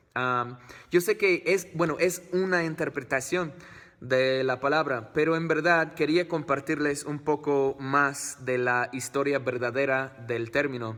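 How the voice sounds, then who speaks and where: Speaking with an English accent, a man has a fairly high pitch. His pace is fairly slow, with ordinary pitch variation. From United States. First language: English (speaking Spanish). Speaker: family vlogger. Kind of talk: vlog talk to camera. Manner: halting, many fillers.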